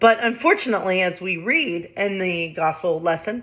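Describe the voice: Someone is doing plain reading aloud. Their pitch rises and falls in an ordinary way.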